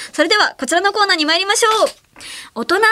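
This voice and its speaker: A woman's raised, projected voice, bright and sharp in tone and animated. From Ehime, Japan. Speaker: late-night radio host. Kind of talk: casual radio chat. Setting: radio studio. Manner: animated, laughs often.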